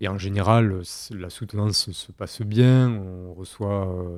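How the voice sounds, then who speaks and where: On a very clean recording with a silent background, a man speaks with a dark, mellow tone. His pitch is fairly low, with ordinary variation. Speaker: historian, recent PhD on 16th-century rumour. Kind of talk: interview. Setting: recording room in Bordeaux. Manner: hesitant, many fillers.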